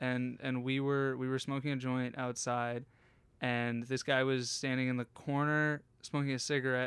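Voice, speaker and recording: On a very clean recording with a silent background, a man at medium pitch speaks at a moderate pace in a monotone, flat intonation with very even loudness. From Pennsylvania, Harrisburg. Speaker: comedian. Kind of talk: casual chat. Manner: halting.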